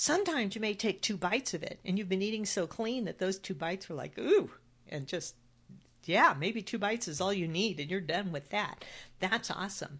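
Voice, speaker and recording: Over a quiet background, a woman talks at a fairly quick pace. Her pitch is medium and her intonation lively. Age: 60s. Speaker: weight loss coach and podcast host. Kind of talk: solo podcast monologue. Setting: home office.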